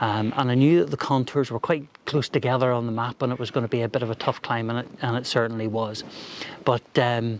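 There's light background noise, though the sound is dry with no echo. A man talks at a moderate pace with fairly even intonation. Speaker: hiking vlogger. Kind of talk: casual vlog chat. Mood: relaxed, chatty, self-deprecating. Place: open country.

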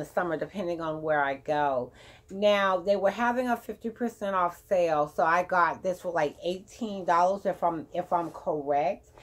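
Speaking at a fairly slow pace, a woman uses a fairly low voice with ordinary pitch variation. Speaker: beauty and fashion vlogger. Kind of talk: casual chat. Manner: rambling, filler words. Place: home room. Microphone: phone near.

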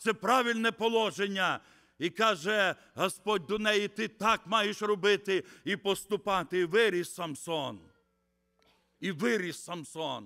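A man's raised, projected voice with a bright, sharp tone, ordinary pitch variation and a fairly slow pace against a quiet background. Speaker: visiting preacher. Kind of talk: sermon. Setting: church. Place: church. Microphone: podium.

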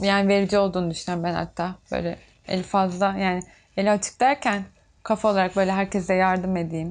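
Here a woman speaks at a fairly quick pace. Her intonation stays fairly even. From Turkey, Çanakkale (Bayramiç); Turkey. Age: 20s. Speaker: tailor; interviewee. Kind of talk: documentary interview. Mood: reflective, somewhat emotional. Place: workshop.

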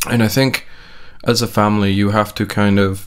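Against a quiet background, a man talks at a moderate pace in a fairly low voice. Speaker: parent vlogger. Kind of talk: casual vlog chat. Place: home room. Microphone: studio mic.

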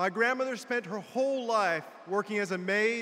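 A man talks in a raised, projected voice. His tone is bright and sharp. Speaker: politician giving a convention keynote. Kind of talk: political speech. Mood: warm, personal storytelling. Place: hall. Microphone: podium.

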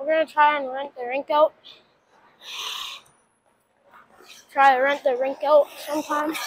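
Long, frequent pauses break up speech at a moderate pace. The sound is dry with no echo, over light background noise. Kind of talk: casual vlog chat. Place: hall. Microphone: lapel.

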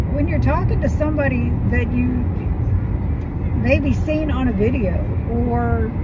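A woman speaks at a fairly slow pace with music in the background. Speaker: vlogger. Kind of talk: casual vlog chat. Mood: mildly annoyed, reflective. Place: car. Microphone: phone near.

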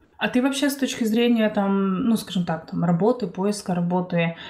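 Speaking at a moderate pace, a woman with an unremarkable speaking voice shows ordinary pitch variation. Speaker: podcast host. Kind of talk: casual interview.

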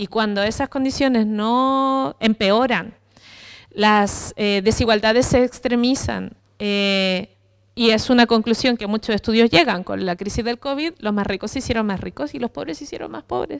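At a moderate pace, a woman speaks at a fairly high pitch with ordinary pitch variation over a quiet background. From Chile. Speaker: psychologist and therapist; speaker. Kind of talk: panel discussion. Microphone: handheld.

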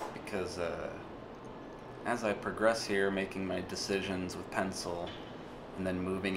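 A man's very deep, low voice in a relaxed tone, with noticeable background noise. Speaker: illustrator. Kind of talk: casual voice-over narration of a drawing video. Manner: relaxed, rambling, hesitant. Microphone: studio mic.

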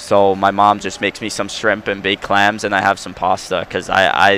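This man has a Long Island accent and a fairly low voice. He talks at a fairly quick pace. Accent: Long Island New York. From New York, Long Island. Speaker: professional hockey player. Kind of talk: casual interview. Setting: studio.

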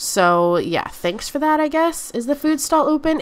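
A woman's voice, high in pitch, its intonation lively

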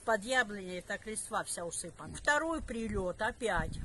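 With noticeable background noise but a dry sound and no echo, a woman speaks at a fairly high pitch. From Donetsk, Ukraine. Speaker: pensioner. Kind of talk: interview answer. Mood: shaken, recounting shelling. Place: garden.

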